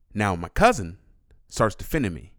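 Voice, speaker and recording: Nothing can be heard in the silent background of this very clean recording. The voice shows ordinary pitch variation. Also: man. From San Diego. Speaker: podcast co-host, musician. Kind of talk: casual chat. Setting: home studio.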